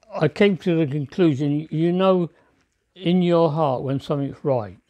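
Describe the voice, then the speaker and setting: At a very slow pace, a man speaks with a fairly high pitch and ordinary pitch variation. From New Zealand. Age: 80s+. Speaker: war veteran. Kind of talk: interview answer.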